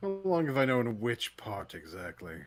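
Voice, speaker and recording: Putting on a character voice, a man speaks at a medium pitch and moderate pace with very wide pitch swings. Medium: actual play. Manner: measured, skeptical.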